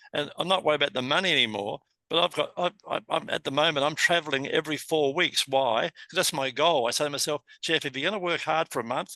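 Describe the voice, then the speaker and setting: Bright and sharp in tone, a man with an Australian accent speaks at a fairly high pitch and fairly quick pace, with ordinary pitch variation. The sound is dry and close with no echo over a quiet background. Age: 70s. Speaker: business coach, interview host. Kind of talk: interview.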